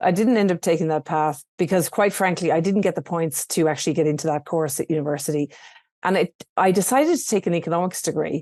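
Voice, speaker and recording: Talking at a very fast pace with an Irish accent, a woman has a fairly low pitch and a dark, mellow tone, her sound dry and close with no echo over a quiet background. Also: ordinary pitch variation. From Ireland, rural. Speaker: entrepreneur. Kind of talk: interview podcast.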